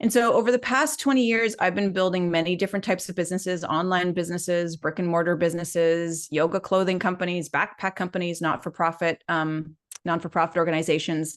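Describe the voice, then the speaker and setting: The speaker talks very fast with hardly any pauses, in a slight Canadian accent. Pitch varies in an ordinary way against a quiet background. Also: woman, fairly low pitch for a woman. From Canada. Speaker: life and business coach. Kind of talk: live webinar training.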